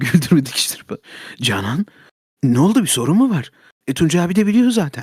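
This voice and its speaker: A man speaks in a fairly high voice at a moderate pace, his pitch swinging very widely. He leaves long, frequent pauses. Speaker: streamer. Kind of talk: casual chat.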